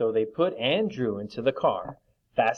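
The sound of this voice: The speaker uses an unforced reading voice. The background is quiet.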